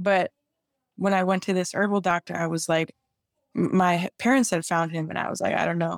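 On a very clean recording with a silent background, a woman with an American accent speaks fairly quickly in a plain, everyday voice, at a medium pitch with fairly even intonation. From Chicago. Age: 20s. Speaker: gym owner and personal trainer. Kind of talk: interview.

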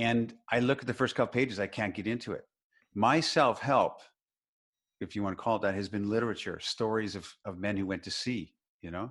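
A man's plain, everyday voice at medium pitch, with ordinary pitch variation, a fairly quick pace and a quiet background. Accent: Canadian. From British Columbia, Canada. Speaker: relationship and seduction author. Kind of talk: casual interview chat.

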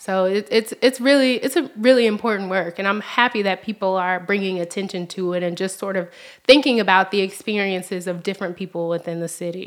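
In a Memphis accent, a woman talks at a fairly quick pace with hardly any pauses. Her medium pitch shows ordinary variation, and the recording is very clean with a silent background. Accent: Southern US (Memphis). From US South, Memphis, Tennessee. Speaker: nonprofit research specialist. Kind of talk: casual interview.

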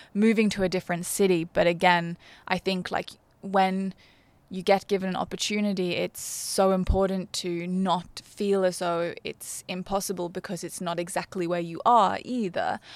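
A woman with an Australian accent speaks at a medium pitch and moderate pace, her intonation monotone and flat. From Australia, Brisbane. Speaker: fashion PR manager. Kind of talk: interview.

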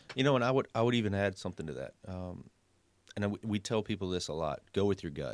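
With a Southern US accent, a man talks at a fairly quick pace with ordinary pitch variation, in a dry, close sound with no echo on a very clean recording with a silent background. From coastal South Carolina. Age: 30s. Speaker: pressure washing business owner and realtor. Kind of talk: casual radio interview.

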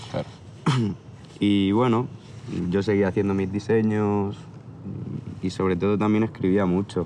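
In a monotone, flat delivery, a man speaks at a fairly low pitch with long, frequent pauses. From Barcelona area, Spain. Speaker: tattoo artist. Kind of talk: casual chat. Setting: outdoors.

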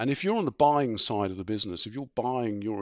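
With a southern English accent, a man talks at a medium pitch with lively intonation. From southeast England. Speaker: insurance executive. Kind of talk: interview.

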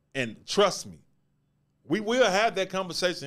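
Very clean recording, silent background, speech at a moderate pace. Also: man. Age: 40s. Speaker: podcast host. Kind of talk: casual commentary on live stream. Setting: live YouTube stream.

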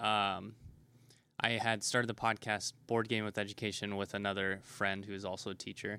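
In a very clean recording with a silent background, a man with an American accent speaks at a moderate pace in a fairly low, bright and sharp voice with monotone, flat intonation. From Nebraska. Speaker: game store owner. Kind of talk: interview. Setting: in a game store.

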